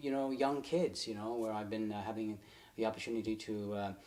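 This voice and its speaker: This man's voice sits at a medium pitch. Its rise and fall are ordinary. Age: 60s. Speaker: mountain climber. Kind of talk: interview. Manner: halting, many fillers.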